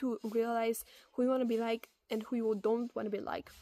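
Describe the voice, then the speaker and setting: Speaking at a moderate pace, a woman with a non-native accent has a fairly high pitch and a dark, mellow tone. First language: not English. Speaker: advice video creator. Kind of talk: casual advice monologue. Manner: conversational with fillers and self-corrections.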